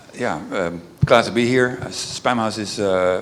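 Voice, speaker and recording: A man with a Dutch accent talks with fairly even intonation amid noticeable background noise and audible room echo. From Netherlands. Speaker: email reputation specialist. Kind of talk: panel discussion. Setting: stage with audience. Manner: halting, many fillers.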